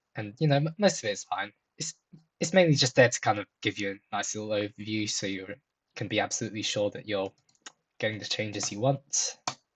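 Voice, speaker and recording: Somewhat breathy, a man speaks very fast at a fairly low pitch with ordinary pitch variation. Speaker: software developer YouTuber. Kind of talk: screen-share coding tutorial. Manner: casual, many fillers.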